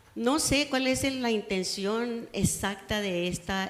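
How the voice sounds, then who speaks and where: Noticeable background noise and audible room echo surround a woman speaking at a fairly slow pace with lively intonation. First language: Spanish. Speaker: resident speaking at public comment. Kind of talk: public comment at council meeting. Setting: city council chamber. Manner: halting.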